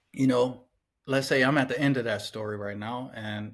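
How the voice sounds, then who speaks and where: An ordinary speaking voice with an American accent carries fairly even intonation. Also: man. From Cleveland, Ohio, US. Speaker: cartoonist and painter. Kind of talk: casual interview chat.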